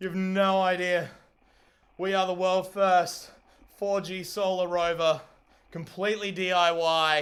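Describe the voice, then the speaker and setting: A man speaks loudly and excitedly at a fairly slow pace, his voice high for a man. Long pauses break up his words often. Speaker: livestreamer building a DIY solar rover. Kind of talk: live stream commentary. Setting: live stream. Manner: excited, exclamatory.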